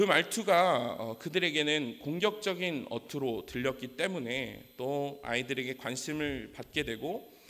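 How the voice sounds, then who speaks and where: Speaking at a fairly slow pace, a man uses a plain, everyday voice, fairly high in pitch with lively intonation. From South Korea, Daegu (Gyeongsang region). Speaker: preacher. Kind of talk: sermon with personal testimony. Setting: church.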